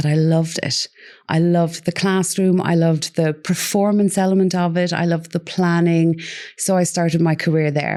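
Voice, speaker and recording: Against a quiet background, a woman with an Irish accent speaks at a moderate pace in a fairly low, dark and mellow voice. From Ireland. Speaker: parenting coach. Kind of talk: interview.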